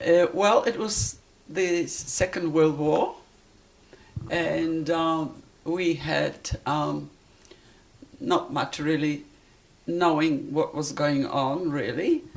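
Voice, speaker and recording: Long, frequent pauses break up a woman's speech. She talks at a very slow pace. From Poland. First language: Polish. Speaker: interviewee, Siberia deportation survivor. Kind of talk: interview, life story. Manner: halting.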